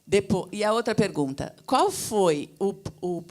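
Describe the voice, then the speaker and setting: The recording is very clean with a silent background. A woman delivers her words at a very slow pace. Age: 60s. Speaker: audience member. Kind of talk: audience question.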